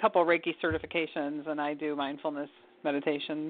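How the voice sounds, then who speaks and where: An American woman with a very deep, low pitch, speaking at a moderate pace. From Michigan. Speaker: caller. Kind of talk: phone-in question.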